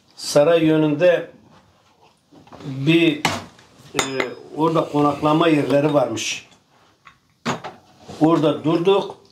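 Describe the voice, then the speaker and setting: A man's fairly high voice, very slow and monotone with flat intonation, very even loudness, and long, frequent pauses. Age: 60s. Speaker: farmer. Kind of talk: casual chat.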